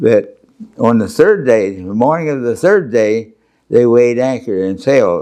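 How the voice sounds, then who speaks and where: Speaking in an American accent at a fairly slow pace, a man uses a medium pitch and a dark, mellow tone. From Pennsylvania, USA. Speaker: World War II Marine veteran. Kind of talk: oral history interview answer. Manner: conversational, hesitant with fillers.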